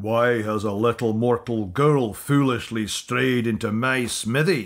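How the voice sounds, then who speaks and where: Using a put-on character voice, a man speaks at a fairly slow pace with a medium pitch, sounding resonant and booming. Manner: booming, imposing.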